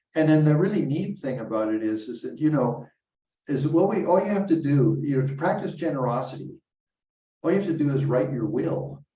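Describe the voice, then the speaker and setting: A man talks at a fairly quick pace with ordinary pitch variation and a somewhat breathy voice. There is audible room echo. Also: fairly high pitch for a man. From Canada. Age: 70s. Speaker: Buddhist teacher. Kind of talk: dharma talk. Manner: casual, halting with repetitions.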